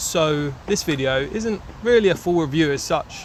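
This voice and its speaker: Over noticeable background noise, a man with a London accent speaks at a fairly high pitch. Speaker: motorcycle reviewer. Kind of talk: casual video review. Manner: casual, hesitant with fillers.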